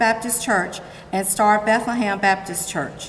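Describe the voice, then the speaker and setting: Noticeable background noise sits behind a woman speaking at a moderate pace. She has a fairly high pitch and fairly even intonation. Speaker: awards presenter. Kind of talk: award ceremony speech. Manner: loud.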